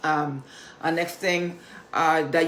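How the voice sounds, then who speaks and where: In a room with audible echo, a woman with a fairly low voice speaks at a fairly slow pace. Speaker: motivational vlogger. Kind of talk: motivational talk.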